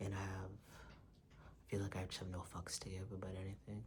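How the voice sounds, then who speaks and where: Soft-spoken and at a moderate pace, a man with a fairly low pitch and vocal fry talks amid audible room echo. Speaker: video blogger. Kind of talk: personal vlog monologue. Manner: quiet, soft-spoken; halting.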